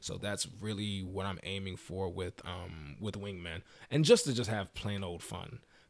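Here is an ordinary speaking voice from a man with an American accent and fairly low pitch. He speaks at a fairly slow pace with ordinary pitch variation on a very clean recording with a silent background. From Maryland, US. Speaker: podcaster with a day job. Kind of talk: casual chat. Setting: studio.

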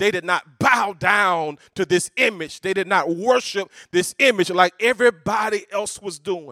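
A man uses a raised, projected voice at a high pitch, with a bright, sharp tone and an animated tone. He goes at a fairly slow pace with hardly any pauses and ordinary pitch variation, the sound dry and close with no echo. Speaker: preacher. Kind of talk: sermon preached to a live congregation, call-and-response. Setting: church stage with audience. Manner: animated, high-energy, rallying the crowd; colloquial, rhythmic, repeating phrases for emphasis.

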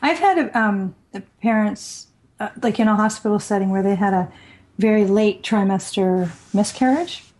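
A somewhat breathy woman at a moderate pace, medium in pitch with ordinary variation. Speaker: podcast co-host. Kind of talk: casual chat.

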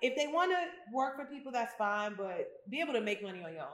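A woman speaks at a fairly quick pace, her pitch swinging very widely. The room echo is audible. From US Midwest/South (Memphis and Chicago). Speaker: spa owner. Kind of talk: casual chat. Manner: animated.

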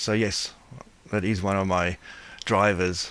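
A man with a South African accent, at a fairly slow pace. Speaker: blindness advocacy board member. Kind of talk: interview. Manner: halting.

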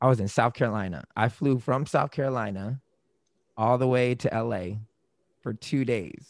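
Here is a man with a plain, everyday voice, medium in pitch and moderate in pace. His pitch variation is ordinary, and the recording is very clean with a silent background. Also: dry, close sound with no echo. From Florida, US (born in Germany, military family). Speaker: podcaster and musician. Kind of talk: casual interview chat.

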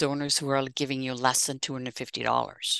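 Bright and sharp in tone, the voice carries a Dutch accent over a quiet background, with a dry, close sound and no echo. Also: woman. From Netherlands (south, near German and Belgian borders). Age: 60s. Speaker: fundraising consultant and author. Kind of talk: interview.

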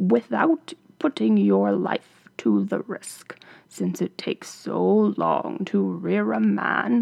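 Here a man talks at a very slow pace. His pitch sits fairly low. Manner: grave, solemn.

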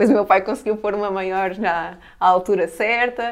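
A woman with a plain, everyday voice speaks at a fairly quick pace and medium pitch, her intonation fairly even. The recording is very clean, with a silent background. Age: 30s. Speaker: basketball player. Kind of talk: casual chat.

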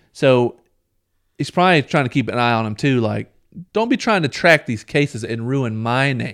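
A man with a normal speaking voice keeps to a moderate pace, his pitch varying in an ordinary way. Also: medium pitch for a man. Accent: American. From US South. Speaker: podcast co-host. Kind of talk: casual chat.

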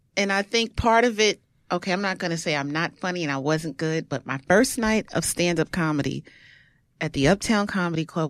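Someone with a Brooklyn accent talks at a moderate pace with lively intonation on a very clean recording with a silent background. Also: woman. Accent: New York (Brooklyn). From Brooklyn, New York. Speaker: stand-up comedian and actress. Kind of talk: casual chat.

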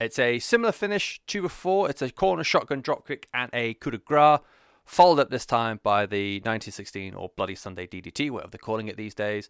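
Speaking very fast with a British accent, a man has a medium pitch and very wide pitch swings. The recording is very clean with a silent background, and the sound is dry and close with no echo. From Britain. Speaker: wrestling podcast host. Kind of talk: solo podcast monologue. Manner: casual, rambling with fillers.

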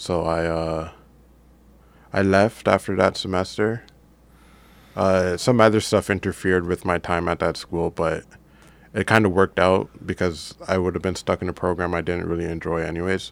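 At a very deep, low pitch, a man speaks at a moderate pace with fairly even intonation and long, frequent pauses, in a very clean recording with a silent background. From Canada, Brampton area near Toronto. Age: 20s. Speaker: comic book artist. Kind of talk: interview.

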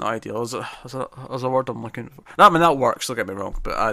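With a bright, sharp tone and medium pitch, a man talks at a very fast pace. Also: very clean recording, silent background. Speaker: podcast host. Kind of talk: casual podcast chat, episode review. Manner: hesitant, stammering, jokey.

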